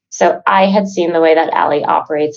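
In a normal speaking voice with an American accent, the speaker keeps a moderate pace and ordinary pitch variation. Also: woman. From Chicago. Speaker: sales professional and business co-founder. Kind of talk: casual interview chat.

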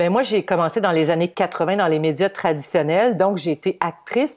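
A woman's plain, everyday voice, fairly low-pitched, at a moderate pace. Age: 50s. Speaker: social media influencer and former TV weather presenter. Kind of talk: casual interview.

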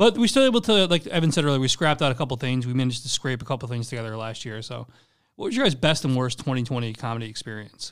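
Speaking at a very fast pace, a man with an American accent shows ordinary pitch variation. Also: medium pitch for a man. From Charlotte, North Carolina. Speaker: comedian and podcast host. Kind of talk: casual comedic banter.

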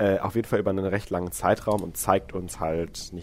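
A man's voice at a moderate pace. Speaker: podcast co-host. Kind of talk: casual chat. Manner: voice cracks on some notes.

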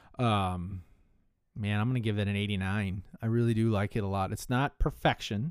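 Heard on a very clean recording with a silent background, a man speaks in a fairly low pitch with ordinary pitch variation. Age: 40s. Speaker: whisky podcast host. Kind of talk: casual solo podcast, whisky tasting. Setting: home. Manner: rambling with many fillers.

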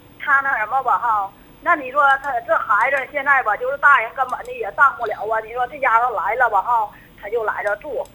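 In a Northeastern Chinese accent, the speaker talks at a fairly quick pace with ordinary pitch variation and big swings in loudness over noticeable background noise. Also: woman, high pitch for a woman. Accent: Northeastern Mandarin. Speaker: caller. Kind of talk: phone-in advice call. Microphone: too quiet.

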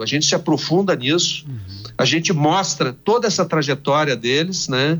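A fairly high-pitched man with lively intonation at a fairly slow pace, music in the background. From Brazil, Rio Grande do Sul (Santa Maria). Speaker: TV journalist. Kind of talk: radio interview.

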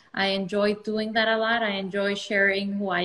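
There is noticeable background noise behind this woman's medium-pitched speech. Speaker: dermatologist. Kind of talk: casual interview.

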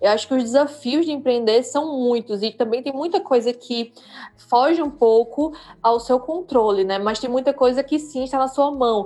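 A woman with a high voice talks at a moderate speed, and her pitch varies in an ordinary way. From Brazil, Recife. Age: 30s. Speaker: entrepreneur. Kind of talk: interview. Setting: live stream.

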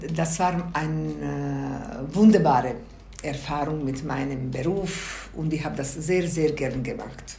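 A woman's very deep, low voice in a Bosnian accent, very slow, with ordinary pitch variation, audible room echo and noticeable background noise. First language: Bosnian (speaking German). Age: 60s. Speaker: grandmother interviewee. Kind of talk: interview.

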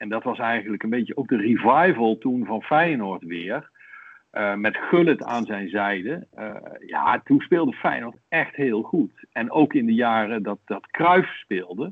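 Lively intonation at a fairly slow pace. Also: man, medium pitch for a man. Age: 50s. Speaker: Feyenoord fan, podcast guest. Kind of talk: casual interview, reading aloud from a book.

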